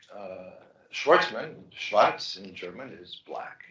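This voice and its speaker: The delivery moves at a very slow pace. Room echo is audible. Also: man. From Greece (Thessaloniki). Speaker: life sciences investor. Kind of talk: fireside chat.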